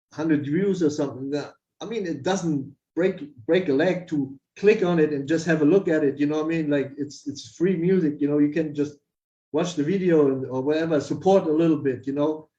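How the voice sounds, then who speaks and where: A man with a German accent speaks at a fairly quick pace, his pitch fairly high and his tone dark and mellow. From Germany. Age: 50s. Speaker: music producer. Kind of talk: interview. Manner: animated.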